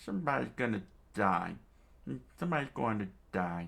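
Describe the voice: A man puts on a character voice. He pitches it fairly low. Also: moderate pace.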